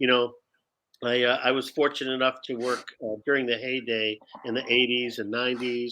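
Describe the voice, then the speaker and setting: A man with an American accent speaks at medium pitch and a fairly quick pace in a monotone, flat delivery. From Detroit, US Midwest. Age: 60s. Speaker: actor and improv teacher. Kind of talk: casual interview.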